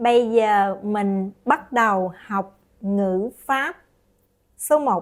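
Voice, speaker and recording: A woman's fairly high voice in a Southern Vietnamese accent, with ordinary pitch variation. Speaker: language teacher. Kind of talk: tutorial.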